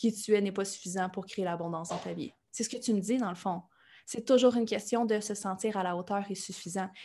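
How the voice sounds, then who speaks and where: A woman with a Quebec accent, medium-pitched and somewhat breathy, at a fairly quick pace against a quiet background. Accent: Québécois French. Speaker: life coach and podcaster. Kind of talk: interview. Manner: animated.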